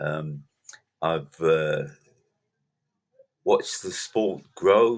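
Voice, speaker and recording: Very slow pace with ordinary pitch variation. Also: man. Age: 80s+. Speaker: podcast host and soccer coach. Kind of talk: casual monologue. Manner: halting, many fillers.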